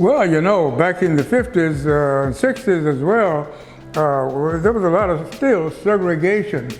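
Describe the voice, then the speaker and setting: Against noticeable background noise, a man with an American accent speaks at a high pitch and a fairly slow pace, with lively intonation and very even loudness. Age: 80s+. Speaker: pastor. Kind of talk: interview answer.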